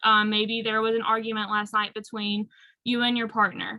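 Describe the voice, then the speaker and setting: Delivered in a strong North Carolina accent, the speech has a monotone, flat intonation. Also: woman. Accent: thick Southern US (North Carolina). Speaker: aromatherapy and self-care speaker. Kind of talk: workshop talk.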